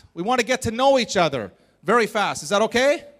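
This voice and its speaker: An animated man with a Canadian accent, lively intonation and a fairly quick pace, on a very clean recording with a silent background. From Canada. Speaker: motivational speaker. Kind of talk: interactive talk to audience.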